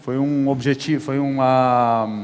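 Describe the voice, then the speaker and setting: Noticeable background noise and audible room echo surround a man whose intonation is fairly even. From Brazil, São Paulo. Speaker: chef. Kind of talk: on-stage interview. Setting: stage with audience.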